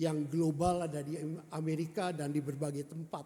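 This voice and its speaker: A man with a high pitch and a dark, mellow tone speaks at a moderate pace in a monotone, flat intonation. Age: 70. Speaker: retired pastor. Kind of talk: sermon. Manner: halting.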